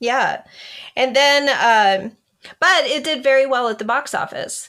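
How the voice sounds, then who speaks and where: A woman's loud, animated, high-pitched voice at a fairly slow pace. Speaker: author. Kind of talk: casual chat.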